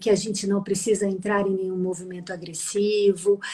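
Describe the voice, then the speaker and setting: A woman with a Minas Gerais accent speaks at a medium pitch. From Minas Gerais, Brazil. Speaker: psychologist. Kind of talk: live stream interview.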